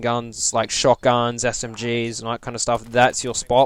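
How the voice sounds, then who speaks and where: A man speaks at a moderate pace, his pitch in the medium range. Noticeable background noise sits behind him. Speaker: gaming YouTuber. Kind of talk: game review monologue. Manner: hesitant, many fillers.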